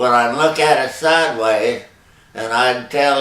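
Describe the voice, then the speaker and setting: With a Texan accent and ordinary pitch variation, the voice moves at a fairly slow pace over noticeable background noise. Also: man. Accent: Texan Southern US. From Texas. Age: 80s+. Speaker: longtime local resident. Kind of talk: interview answer. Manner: slow, hesitant.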